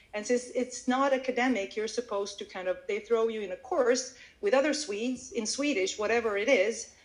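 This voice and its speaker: With a Croatian accent, a woman speaks at a fairly quick pace in a high pitch with ordinary pitch variation. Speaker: Swedish language teacher. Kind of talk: interview. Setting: live audio event.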